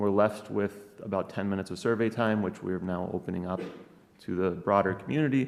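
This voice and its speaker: Speaking at a moderate pace, a man with an American accent uses a fairly low pitch and ordinary pitch variation. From Wisconsin. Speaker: professor. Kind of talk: conference talk. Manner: hesitant, many fillers.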